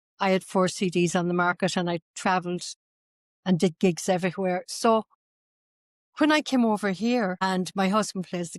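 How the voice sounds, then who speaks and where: A woman speaks with an Irish accent at a medium pitch and ordinary pitch variation. The sound is dry and close with no echo, on a very clean recording with a silent background. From northwest Ireland, Sligo. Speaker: tour company owner, former traditional singer. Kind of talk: interview.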